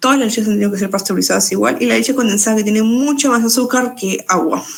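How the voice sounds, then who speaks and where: A woman speaks at a very fast pace, her pitch fairly high with ordinary variation. Audible echo fills the room. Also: very even loudness. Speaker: nutrition student tutor. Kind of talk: exam review lecture.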